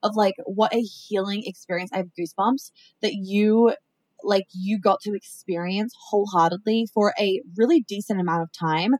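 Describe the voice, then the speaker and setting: A woman's medium-pitched voice at a moderate pace, ordinary pitch variation, the sound dry and close with no echo. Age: 20s. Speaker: entrepreneur. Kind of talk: casual chat. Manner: animated.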